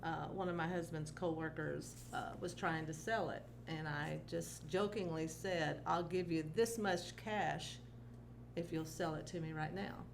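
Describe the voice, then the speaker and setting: A woman speaks at a fairly slow pace. The room echo is audible. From rural area, grew up on a farm. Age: 60s. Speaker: retired teacher. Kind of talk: casual chat.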